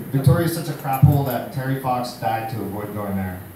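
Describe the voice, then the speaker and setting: Background noise is noticeable throughout, and the room's echo can be heard. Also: man. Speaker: comedian. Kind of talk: stand-up comedy set. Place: bar. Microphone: camera far.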